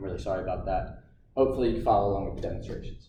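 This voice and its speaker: Vocal fry marks a man's voice, heard with audible room echo. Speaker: fitness instructor. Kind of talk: workout instruction. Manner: casual, encouraging.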